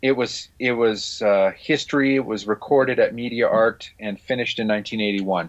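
Moderate pace, medium pitch and ordinary pitch variation in a man's unremarkable speaking voice. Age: middle-aged. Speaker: music podcast host. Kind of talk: casual chat.

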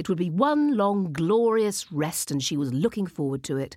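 Lively intonation in plain reading aloud

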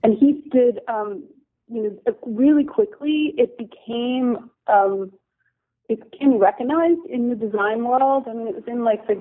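Speaking at a moderate pace, a woman with an American accent has an unremarkable speaking voice, fairly high in pitch, with lively intonation. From US East Coast, New Jersey. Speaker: designer and ceramics company owner. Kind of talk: interview.

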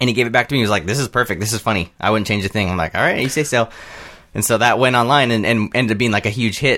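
A man's medium-pitched voice, bright and sharp in tone, very fast, with ordinary pitch variation. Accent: American. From Southern California. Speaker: filmmaker and video creator. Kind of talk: casual chat.

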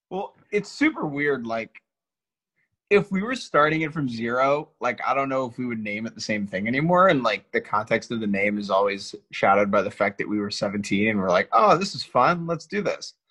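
Here a man speaks at a medium pitch and a moderate pace. His tone is bright and sharp, and his pitch swings very widely. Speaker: baseball podcaster. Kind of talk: casual banter with a playful radio-DJ impression. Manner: jokey, animated, riffing.

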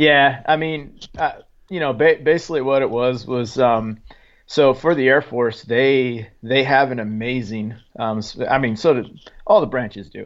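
A man speaks at a medium pitch with an American accent. It is a plain, everyday voice with ordinary pitch variation. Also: moderate pace. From Oregon, small logging town. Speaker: Special Forces soldier, author. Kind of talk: interview, war testimony.

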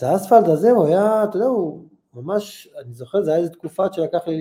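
With a high pitch but a dark, mellow tone, a man speaks at a moderate pace. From Israel, Holon. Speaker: retired football goalkeeper. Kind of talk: interview.

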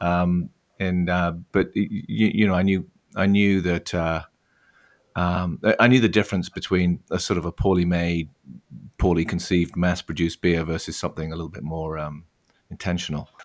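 A man with a southwest English accent speaks in a very deep, low pitch with fairly even intonation. He leaves long, frequent pauses on a very clean recording with a silent background. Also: moderate pace. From England, Devon. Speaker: brewery founder. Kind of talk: interview. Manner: halting.

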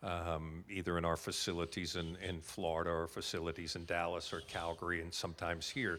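A man with an American accent speaks at a fairly quick pace in a very deep, low voice with a bright, sharp tone and monotone, flat intonation. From United States. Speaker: insurance company representative. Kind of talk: interview, elevator pitch. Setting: conference venue, live recording.

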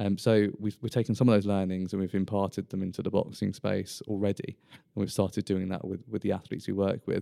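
A man with a British accent talks at a very fast pace with hardly any pauses, his fairly low, dark, mellow voice monotone and flat, the sound dry and close with no echo. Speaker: sports lawyer. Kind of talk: casual professional interview. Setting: law firm boardroom.

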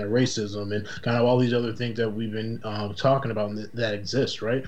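A man in an American accent at a fairly quick pace, with audible room echo. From Boston, Massachusetts. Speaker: podcast guest. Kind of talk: casual chat.

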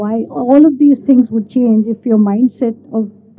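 A woman with a normal speaking voice talks at a moderate pace, her pitch fairly high and her intonation fairly even. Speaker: audience member asking question. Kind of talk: audience question. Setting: conference hall with audience.

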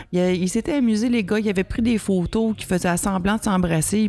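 A woman speaks at a medium pitch with ordinary pitch variation. Noticeable background noise runs under her voice. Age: 40s. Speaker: podcast co-host. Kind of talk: casual chat. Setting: restaurant bar. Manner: halting.

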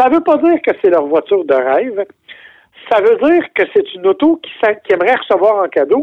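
A man's extremely high-pitched voice, fairly quick in pace, with very wide pitch swings and long, frequent pauses. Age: 60s. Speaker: car journalist. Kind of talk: casual chat.

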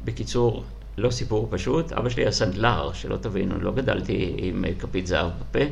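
Amid noticeable background noise and audible room echo, a man with a very deep, low pitch speaks at a moderate pace using very wide pitch swings. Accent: slight non-native. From Soviet Union. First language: Russian (speaking Hebrew). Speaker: school principal. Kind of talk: interview.

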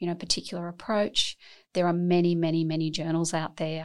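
A woman at a fairly low pitch, fairly quick pace and monotone, flat intonation. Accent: Australian. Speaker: academic scientist and medical doctor. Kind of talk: interview.

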